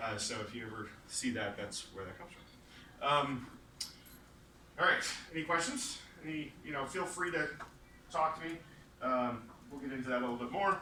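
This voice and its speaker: A fairly high-pitched man at a moderate pace with lively intonation, big swings in loudness and long, frequent pauses, amid audible room echo and noticeable background noise. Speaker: university lecturer. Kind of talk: lecture. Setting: classroom with students. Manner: casual, many filler words.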